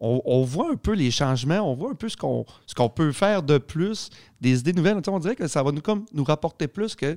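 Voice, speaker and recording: The speaker moves at a fairly quick pace with lively intonation and an animated tone, in a dry, close sound with no echo on a very clean recording with a silent background. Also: man, fairly high pitch for a man. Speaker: podcast host. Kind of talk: casual chat.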